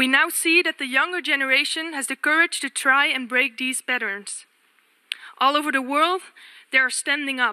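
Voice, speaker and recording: A woman speaks in a raised, projected voice with a high pitch and a bright, sharp tone. Her pitch varies in an ordinary way at a moderate pace, and the sound is dry and close with no echo. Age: 20s. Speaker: youth delegate. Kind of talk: formal speech. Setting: UN assembly. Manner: formal.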